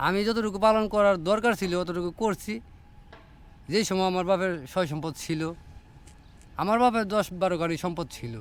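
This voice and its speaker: With ordinary pitch variation, a man's voice runs high in pitch. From Kishoreganj, Bangladesh. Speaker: day labourer. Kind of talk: street interview.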